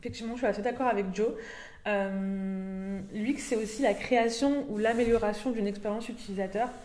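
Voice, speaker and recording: A dark, mellow tone at a moderate pace, with fairly even intonation and audible room echo. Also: woman, fairly high pitch for a woman. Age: 20s. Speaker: UX designer. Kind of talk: casual discussion. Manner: hesitant, many fillers.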